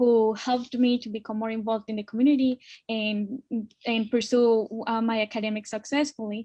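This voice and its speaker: A woman in a Spanish accent, fairly high-pitched and monotone with flat intonation, at a moderate pace against a quiet background. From Colombia. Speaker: immigrant guest speaker. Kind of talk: personal testimony in a panel webinar.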